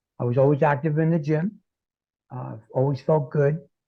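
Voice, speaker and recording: With fairly even intonation, the delivery comes across as somewhat breathy. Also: man. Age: 60s. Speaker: health and transformational coach, author. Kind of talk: interview. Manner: halting, many fillers.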